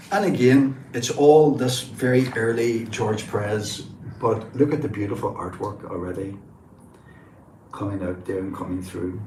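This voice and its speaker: The speaker has a northwest Irish accent and ordinary pitch variation at a fairly slow pace. Noticeable background noise and audible room echo fill the recording. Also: man, medium pitch for a man. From northwest Ireland. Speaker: comic book collector and livestreamer. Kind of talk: casual live stream show-and-tell. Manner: enthusiastic.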